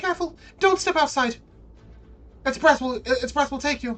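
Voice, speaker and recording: A high-pitched, put-on character voice from a woman, moving at a moderate pace. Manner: urgent, warning.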